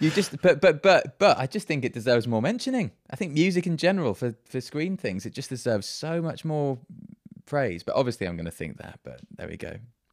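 Someone with a British accent speaks at a fairly quick pace, with very wide pitch swings and big swings in loudness. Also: man, fairly high pitch for a man. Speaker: composer. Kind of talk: casual interview chat.

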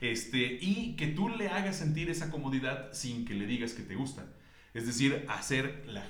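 A man's speech, with ordinary pitch variation, carries noticeable background noise and audible echo from the room. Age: 40s. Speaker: writer and editor. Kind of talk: casual chat.

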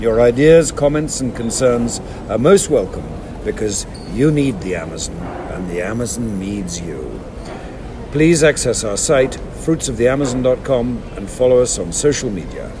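At a medium pitch and a fairly slow pace, a man speaks with lively intonation and big swings in loudness, with audible room echo and noticeable background noise. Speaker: podcast host. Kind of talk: interview. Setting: airport. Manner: halting.

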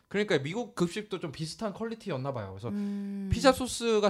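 A man is speaking. His pace is very fast. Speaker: podcast host. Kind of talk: casual chat. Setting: studio.

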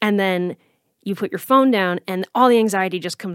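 On a very clean recording with a silent background, an ordinary speaking voice moves at a moderate pace with ordinary pitch variation. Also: woman. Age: 30s. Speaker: podcast host and anxiety coach. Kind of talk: casual interview.

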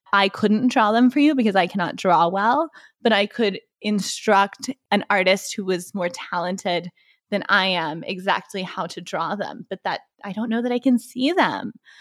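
In a normal speaking voice, a woman with an American accent speaks at a moderate pace and medium pitch with ordinary pitch variation, the very clean recording dry and close with no echo and a silent background. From Texas (Waco). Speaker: podcast co-host. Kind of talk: casual chat. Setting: in-person recording in a living room.

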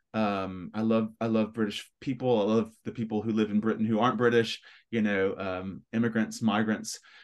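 With a West Tennessee accent, a man speaks at a fairly low pitch and a moderate pace in a monotone, flat intonation against a quiet background. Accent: West Tennessee Southern US. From Memphis, Tennessee, US South. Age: 40s. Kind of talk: casual interview.

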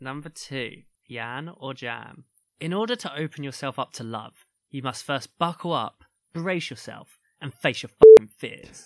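With a British accent, a man speaks at a fairly slow pace with a fairly high pitch, a dark, mellow tone and big swings in loudness, in a dry, close sound with no echo. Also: ordinary pitch variation. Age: 30s. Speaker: podcast co-host. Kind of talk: casual chat.

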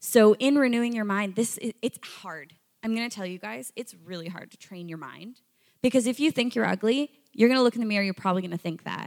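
This woman has a fairly high pitch, lively intonation and big swings in loudness. She talks at a very fast pace, and the sound is dry and close with no echo. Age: 20s. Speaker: youth ministry leader. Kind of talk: sermon. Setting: stage with audience.

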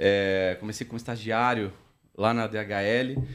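The voice has ordinary pitch variation, in a very clean recording with a silent background. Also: man. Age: 40s. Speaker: logistics operations director. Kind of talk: interview. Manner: hesitant, many filler words.

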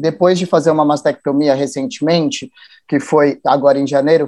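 With a dark, mellow tone, the voice shows ordinary pitch variation. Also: man. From São Paulo, Brazil. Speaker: activist and NGO founder. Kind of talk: interview. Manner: talkative.

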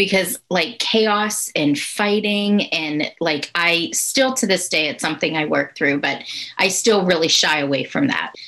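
At a fairly slow pace, a woman with a medium pitch talks in an ordinary speaking voice. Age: 40s. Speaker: life coach. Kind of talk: interview testimony.

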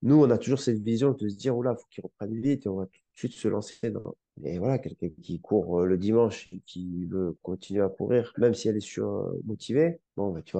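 His dark, mellow voice fairly low in pitch, a man speaks with ordinary pitch variation and hardly any pauses, the sound dry and close with no echo. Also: big swings in loudness, quiet background. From France, Grenoble (Alps). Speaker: physiotherapist and osteopath. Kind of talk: casual interview. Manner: animated.

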